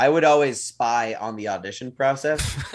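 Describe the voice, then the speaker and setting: This man's delivery is moderately paced, and his pitch varies in an ordinary way. It is an ordinary speaking voice. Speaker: podcast co-host. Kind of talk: casual banter between co-hosts. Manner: easygoing, laughs often.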